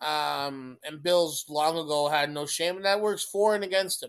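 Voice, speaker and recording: Using lively intonation, a man with a Canadian accent talks at a moderate pace. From Canada. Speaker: podcast co-host. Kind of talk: casual chat. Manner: repeats words, stammers at times.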